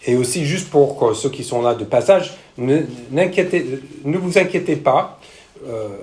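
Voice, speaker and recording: With audible room echo, a man speaks at a fairly slow pace in a fairly high pitch, using lively intonation and long, frequent pauses. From United States. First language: English (speaking French). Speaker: missionary pastor, church planter. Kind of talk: sermon. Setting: church with congregation. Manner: hesitant, frequent fillers.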